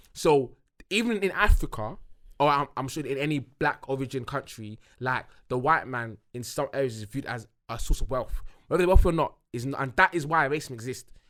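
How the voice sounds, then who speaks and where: This man speaks at a fairly quick pace with a fairly high pitch and ordinary pitch variation. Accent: British. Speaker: podcast co-host. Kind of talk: casual chat. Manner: halting, repeats words.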